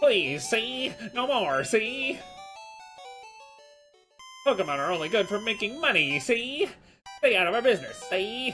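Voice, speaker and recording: A put-on character voice at a fairly high pitch swings very widely in pitch, at a moderate pace with long, frequent pauses. Faint music plays in the background. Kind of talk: gangster slang, ending lines with 'see'. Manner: tough, gruff.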